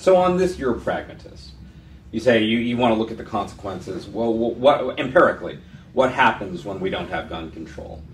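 This man has an American accent and a medium pitch, with very wide pitch swings. He talks at a fairly quick pace, and the room echo is audible. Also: big swings in loudness. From San Francisco, California. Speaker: interview host, law professor. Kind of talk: interview. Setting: office.

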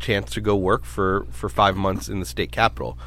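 Vocal fry runs through a man's speech as he talks at a fairly quick pace with very wide pitch swings. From Brooklyn, New York; raised in Sacramento, California. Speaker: medical society CEO, former legislative staffer. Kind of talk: interview.

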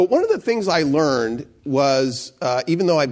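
A man speaks in a normal speaking voice with lively intonation at a moderate pace. The recording is very clean, with a silent background. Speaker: former candidate, nonprofit institute leader. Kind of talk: panel talk. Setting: live panel event.

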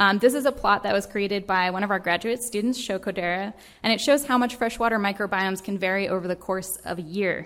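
A plain, everyday voice with an American accent, fairly even intonation and a fairly quick pace. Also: woman. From Vermont, US. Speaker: microbial ecologist. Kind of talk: lecture.

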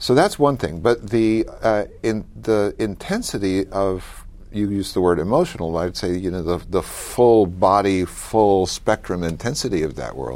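A man with an American accent speaks at a fairly slow pace with hardly any pauses, in a fairly low pitch with ordinary pitch variation and an unremarkable speaking voice. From US South, mountains of North Carolina. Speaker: professor. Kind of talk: interview.

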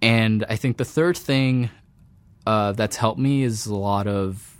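With a normal speaking voice, a man talks at a moderate pace at medium pitch with ordinary pitch variation, in a very clean recording with a silent background. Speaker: PhD student in computer science. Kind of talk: interview monologue. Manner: frequent fillers and self-corrections.

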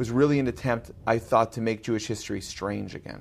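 Using a normal speaking voice, a man with an American accent talks at a fairly quick pace and medium pitch with fairly even intonation. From US Midwest, Chicago north shore (Glencoe, Illinois). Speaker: journalist and author. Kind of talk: interview.

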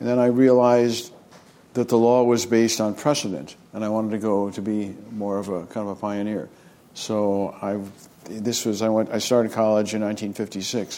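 A man with an American accent speaks at a moderate pace and fairly low pitch. His intonation is fairly even, and his tone is dark and mellow. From US West Coast, San Francisco Bay Area. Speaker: physician and health policy professor. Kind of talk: interview.

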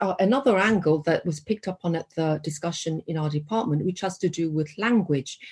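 A woman's somewhat breathy, fairly low voice with lively intonation, dry and close with no echo. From South Korea. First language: Korean. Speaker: professor. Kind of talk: academic discussion.

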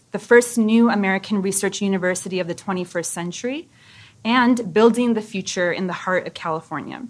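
A woman with a plain, everyday voice speaks at a fairly quick pace with medium pitch and ordinary pitch variation in a very clean recording with a silent background. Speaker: university professor. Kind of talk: conference lecture. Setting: stage with audience.

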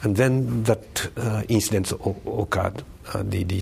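Noticeable background noise sits behind this recording. A man talks in it with fairly even intonation. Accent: Japanese. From Japan, Tokyo. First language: Japanese. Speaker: professor of religious studies. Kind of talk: interview. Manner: halting.

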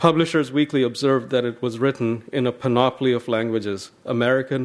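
This is a normal speaking voice. Its intonation is fairly even. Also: man. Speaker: university host introducing speaker. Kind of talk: formal introduction. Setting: campus library event.

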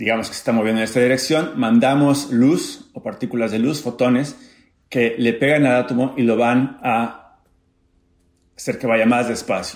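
At a moderate pace, a man talks with fairly even intonation and a medium pitch. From Mexico, Acapulco. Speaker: physics professor. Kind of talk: personal testimony and science explanation. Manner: halting, with fillers and repetitions.

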